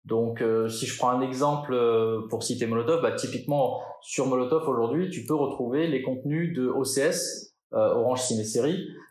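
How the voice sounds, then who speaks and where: Audible room echo carries a man's voice. He speaks at a fairly slow pace. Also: medium pitch for a man, ordinary pitch variation. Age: 40s. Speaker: marketing director. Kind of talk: interview. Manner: hesitant, repeats words.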